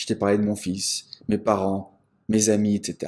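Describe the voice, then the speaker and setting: A man speaks here. His tone is dark and mellow. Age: 40s. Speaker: business coach. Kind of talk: motivational talk. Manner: animated.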